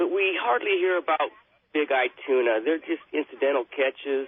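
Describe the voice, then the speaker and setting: This man's voice sits fairly high in pitch for a man. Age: 60s. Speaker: caller. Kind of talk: radio call-in question. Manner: halting.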